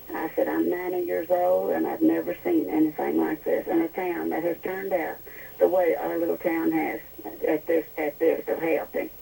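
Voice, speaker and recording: A woman's speech proceeds at a moderate pace. Noticeable background noise accompanies it throughout. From Zenith area, local county. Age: 80s+. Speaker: neighbor interviewed. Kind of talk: phone interview.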